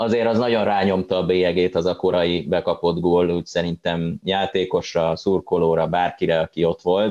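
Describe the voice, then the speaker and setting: Against a quiet background, a man with a plain, everyday voice speaks at a moderate pace with ordinary pitch variation. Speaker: sports journalist. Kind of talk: casual football discussion.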